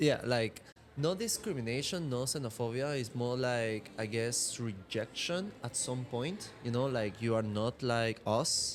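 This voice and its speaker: In a Venezuelan accent, a man talks fairly slowly at a medium pitch with ordinary pitch variation. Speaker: martial arts instructor and model. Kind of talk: casual podcast chat.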